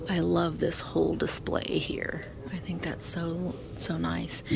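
A woman is whispering. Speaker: vintage reseller shopper. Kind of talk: casual vlog chat. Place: shop. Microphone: phone near.

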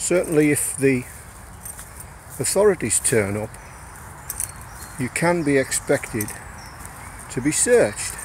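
Against light background noise, a man speaks at a fairly slow pace, the sound dry with no echo. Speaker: outdoor vlogger. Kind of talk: casual vlog tutorial. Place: forest. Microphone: phone near.

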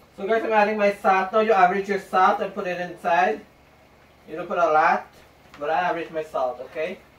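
Amid audible room echo, a high-pitched man speaks at a fairly quick pace with fairly even intonation. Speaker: home cook vlogger. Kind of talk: cooking tutorial. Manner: casual, chatty. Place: kitchen. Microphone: camera far.

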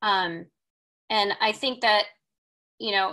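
The woman's tone is bright and sharp, her intonation fairly even. She goes at a moderate pace over a quiet background. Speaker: film director. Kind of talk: panel Q&A. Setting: video call. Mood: reflective, earnest. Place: home room. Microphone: video call.

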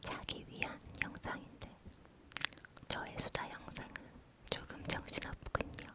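A woman whispering very slowly with long, frequent pauses over noticeable background noise. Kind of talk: ASMR whispered chatty talk with word repetition. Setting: studio, close microphone. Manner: whispered, soft-spoken, repetitive.

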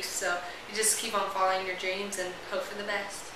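Over noticeable background noise and audible room echo, a woman speaks very fast in a flat monotone. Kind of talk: interview answer. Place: home room. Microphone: camera far.

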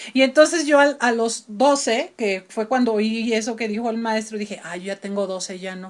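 Over a quiet background, a woman with a Mexican accent speaks in an animated tone at a moderate pace, her fairly high pitch showing ordinary variation, with hardly any pauses and big swings in loudness. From Mexico City. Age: 50s. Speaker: opera singer; interview guest. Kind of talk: interview. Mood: relaxed, reminiscing. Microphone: video call.

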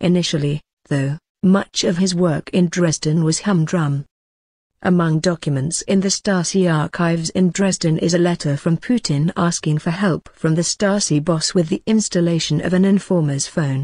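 A woman with a dark, mellow, somewhat breathy tone speaks at a moderate pace, with fairly even intonation and very even loudness, in a dry, close sound with no echo. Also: fairly low pitch for a woman. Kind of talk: history documentary narration. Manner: measured, grave storytelling pace; formal, clear, and authoritative.

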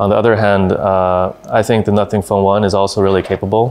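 A man's fairly low voice at a fairly quick pace. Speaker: company executive reviewing a phone. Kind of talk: interview answer. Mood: relaxed, thoughtful. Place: office. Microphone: lapel.

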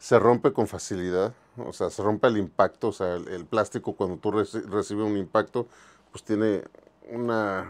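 In a plain, everyday voice, a man talks at a moderate pace with fairly low pitch and fairly even intonation, his loudness swinging widely. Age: 50s. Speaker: toy museum owner, collector and video host; video host. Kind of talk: casual toy show-and-tell video. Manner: casual, conversational. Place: shop. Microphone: lapel.

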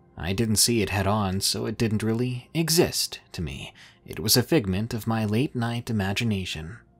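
Over music in the background, a man talks at a moderate pace in a fairly low voice with ordinary pitch variation. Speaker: story narrator. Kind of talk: horror story narration.

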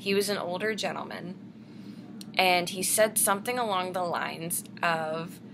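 A woman's bright, sharp voice at a moderate pace with ordinary pitch variation, over noticeable background noise. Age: 20s. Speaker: vlogger. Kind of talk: casual vlog monologue. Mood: calm, personal storytelling. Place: home room. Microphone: webcam.

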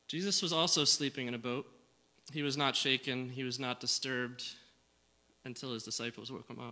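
Fairly even in intonation, a man's voice carries a bright, sharp tone. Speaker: preacher. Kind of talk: sermon. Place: church. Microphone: podium.

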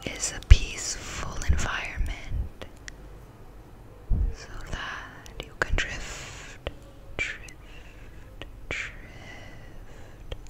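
A woman whispers very slowly, with long pauses coming often. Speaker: ASMR artist. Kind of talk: ASMR sleep guidance. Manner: whispered. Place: home room. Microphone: studio mic.

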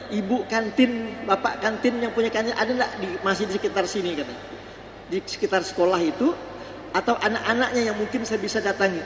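A man speaks fairly quickly, with light background noise and audible echo from the room. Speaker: preacher. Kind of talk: sermon. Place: church. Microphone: podium.

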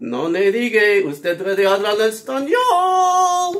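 A man's put-on character voice, high-pitched with very wide pitch swings, at a fairly slow pace.

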